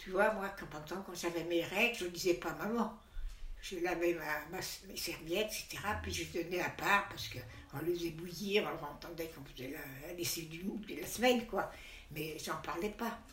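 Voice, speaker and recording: Over noticeable background noise and audible room echo, a woman with a fairly low pitch speaks at a moderate pace, her pitch varying in an ordinary way and her loudness swinging widely. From Savoie, France. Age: 90s. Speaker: grandmother interviewed. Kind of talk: interview testimony. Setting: retirement home room.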